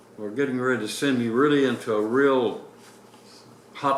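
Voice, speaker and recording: With an American accent and a medium pitch, a man speaks at a moderate pace and fairly even intonation over noticeable background noise. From Indianapolis, Indiana, USA. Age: 80s+. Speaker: retired navy captain, war veteran. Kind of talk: interview answer.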